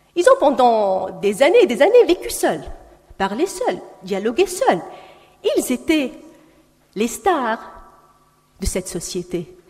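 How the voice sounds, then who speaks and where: With long, frequent pauses and a very slow pace, a woman speaks in a high pitch that swings very widely. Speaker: panelist at round table. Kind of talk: panel speech.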